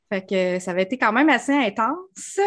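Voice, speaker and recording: A woman with a Quebec accent speaks with lively intonation against a quiet background. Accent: Québécois French. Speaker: podcast co-host. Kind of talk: casual chat.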